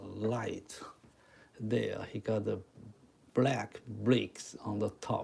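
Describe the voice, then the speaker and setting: The speaker has a Chinese accent. The pace is very slow. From Taiwan. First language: Mandarin Chinese. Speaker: chalk art teacher. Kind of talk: live stream drawing tutorial. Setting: live stream. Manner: halting.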